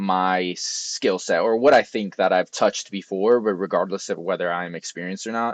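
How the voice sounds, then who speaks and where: Mumbling at a moderate pace, a man with a fairly low pitch and fairly even intonation is heard in a dry, close sound with no echo over a quiet background. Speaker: software engineer and tech youtuber. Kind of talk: casual vlog talk. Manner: mumbling, many fillers.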